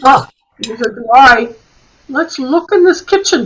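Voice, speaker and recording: Putting on a character voice, a woman talks at a fairly slow pace in a high pitch. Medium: stage play. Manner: deliberate, musing, with frequent hmms.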